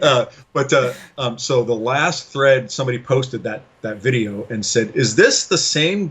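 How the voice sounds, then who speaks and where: A man with an American accent has an unremarkable speaking voice. He talks at a fairly slow pace with lively intonation. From US, Los Angeles. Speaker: game designer. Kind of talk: interview. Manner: casual.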